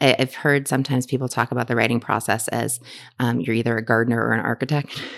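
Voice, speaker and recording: Very fast and monotone, a woman with an American accent speaks in a very deep, low pitch with flat intonation and vocal fry. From Massachusetts, south shore near Boston. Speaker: novelist. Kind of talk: interview. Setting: bookstore event. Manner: halting.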